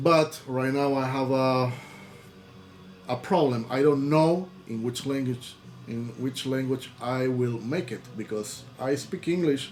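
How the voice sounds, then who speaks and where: A man with a Spanish accent speaks at a very slow pace with ordinary pitch variation over light background noise. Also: medium pitch for a man. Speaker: YouTuber and record label owner; music reviewer. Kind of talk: casual vlog talk to camera; casual vlog chat. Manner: halting, with many repetitions and fillers. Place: home room. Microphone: webcam.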